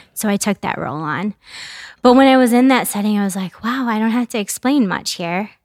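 In a very clean recording with a silent background, a woman with an American accent speaks in an unremarkable speaking voice, with a fairly high pitch and ordinary pitch variation. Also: dry, close sound with no echo. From US Midwest, mid-Michigan. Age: 40s. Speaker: immigrant rights advocate and attorney. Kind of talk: interview conversation.

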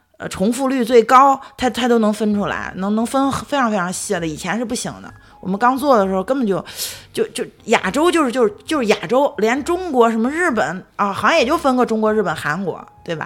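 A woman talks at a fairly quick pace with lively intonation and a fairly high pitch, music playing in the background. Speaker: podcast co-host. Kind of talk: casual chat.

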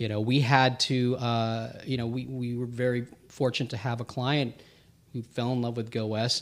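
A man with an American accent, medium pitch, monotone, flat intonation and a fairly quick pace. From US, Filipino family. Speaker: producer and tech lead. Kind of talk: casual interview chat. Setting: studio. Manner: calm, eloquent.

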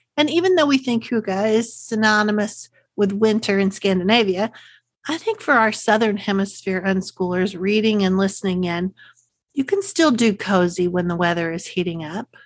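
Woman with a Texas accent, medium in pitch, against a quiet background. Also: ordinary pitch variation, moderate pace. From Central Texas. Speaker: podcast host, unschooling parent. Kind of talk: solo podcast talk. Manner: friendly, conversational.

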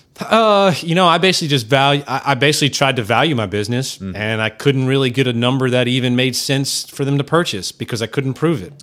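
Very fast, lively man's speech at a medium pitch, hardly pausing, on a very clean recording with a silent background. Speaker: entrepreneur and endurance athlete. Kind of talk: casual interview chat.

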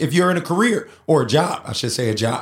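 A man speaks in a high-pitched, animated voice with very wide pitch swings. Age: 40s. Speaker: podcast host and emcee. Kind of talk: motivational casual talk.

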